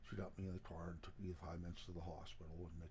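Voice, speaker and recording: Somewhat breathy and dark, mellow in tone, a man with an American accent speaks at a very deep, low pitch with ordinary pitch variation. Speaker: outdoors channel owner. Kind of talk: vlog health update.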